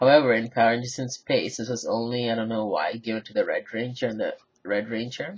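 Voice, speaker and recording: A man speaks in a somewhat breathy voice at a medium pitch and a fairly quick pace. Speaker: toy reviewer. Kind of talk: product review. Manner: flat, low energy; hesitant, filler words.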